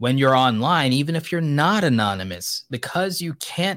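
In a very clean recording with a silent background and a dry, close sound with no echo, a man talks in an ordinary speaking voice at a moderate pace with lively intonation. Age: 30s. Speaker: podcast host and YouTube educator. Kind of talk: solo commentary monologue.

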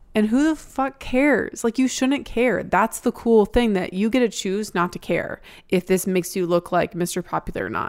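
On a very clean recording with a silent background, a woman with a normal speaking voice, fairly high pitch and lively intonation talks at a moderate pace with hardly any pauses. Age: 30s. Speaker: advice podcast co-host. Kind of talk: casual chat.

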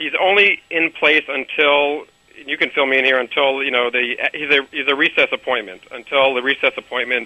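With an ordinary speaking voice, this man's pitch is fairly high, varies in an ordinary way, and comes at a moderate pace. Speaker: labor and employment lawyer. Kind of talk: interview discussion. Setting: remote interview by phone.

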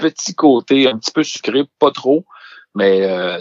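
A man with a Saguenay accent and ordinary pitch variation. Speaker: music and alcohol columnist. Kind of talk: casual chat.

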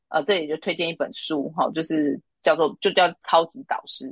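A woman with a Taiwanese accent speaks at a moderate pace and fairly low pitch, in a dry, close sound with no echo. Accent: Taiwanese Mandarin. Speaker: recruitment consultant. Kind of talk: interview.

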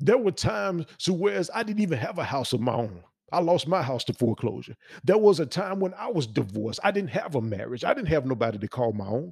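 A man with an American accent talks at a very fast pace in an animated tone, his fairly high, somewhat breathy voice making very wide pitch swings. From US South, Memphis, Tennessee. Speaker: podcast host. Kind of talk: motivational monologue. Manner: repetitive stammering restarts.

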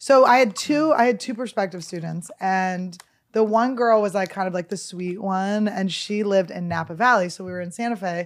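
In a very clean recording with a silent background, a woman with a plain, everyday voice speaks at a medium pitch and a moderate pace, with ordinary pitch variation and big swings in loudness. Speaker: comedian and podcast co-host. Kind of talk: casual chat.

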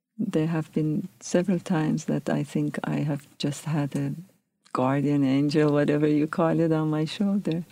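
In a Persian accent, a woman speaks with a very deep, low pitch and a dark, mellow tone, her intonation fairly even, in a very clean recording with a silent background. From Iran, Tehran. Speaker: professor. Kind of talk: interview testimony.

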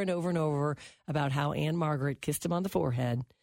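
A woman with a very deep, low pitch talks very fast in an animated tone with ordinary pitch variation, in a very clean recording with a silent background. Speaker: radio host. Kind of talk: casual radio chat.

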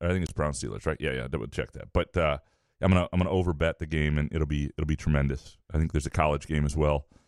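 Talking at a very fast pace, a man uses a very deep, low voice with vocal fry and fairly even intonation, the sound dry and close with no echo. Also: very clean recording, silent background. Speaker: sports radio host. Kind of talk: casual chat.

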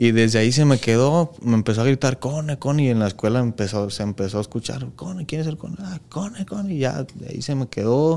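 An unremarkable speaking voice with lively intonation, at a fairly quick pace with hardly any pauses. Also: man, medium pitch for a man. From Mexico, Jalisco (Lagos de Moreno). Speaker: professional footballer. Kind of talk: casual interview chat.

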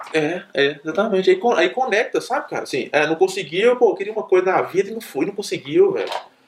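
Through noticeable background noise, a man talks at a fairly quick pace with hardly any pauses. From Minas Gerais, Brazil (interior). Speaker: doctor. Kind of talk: casual storytelling talk. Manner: animated.

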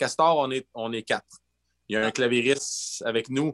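At a moderate pace, a man of medium pitch talks with ordinary pitch variation in a dry, close sound with no echo. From northern Quebec (Gagnon, Fermont). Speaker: bassist and singer. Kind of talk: casual chat.

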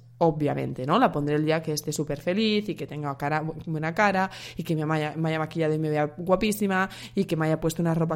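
This woman's pitch is very deep and low. She talks at a fairly quick pace with fairly even intonation. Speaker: dietitian and podcast host. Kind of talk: solo podcast monologue.

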